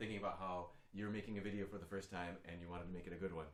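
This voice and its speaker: The recording carries noticeable background noise and audible room echo. A man is speaking. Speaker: singing teacher. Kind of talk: tutorial.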